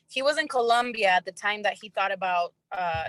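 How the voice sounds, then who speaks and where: Here is a normal speaking voice at a moderate pace. The sound is dry and close, with no echo. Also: woman. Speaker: startup co-founder, former TV reporter. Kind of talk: panel discussion.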